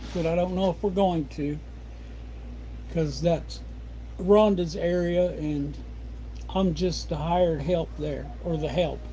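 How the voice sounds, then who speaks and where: A man with a rural Midwestern US accent talks at a fairly slow pace in a relaxed tone, with long, frequent pauses. There is audible room echo. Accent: rural American Midwest. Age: 60s. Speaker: homesteader livestreamer. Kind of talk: casual livestream chat. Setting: home livestream at desk. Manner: relaxed, rambling pace with fillers.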